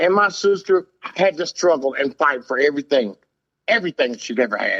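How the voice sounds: A man speaks at a moderate pace with a fairly high pitch. His tone is fairly bright and his intonation lively.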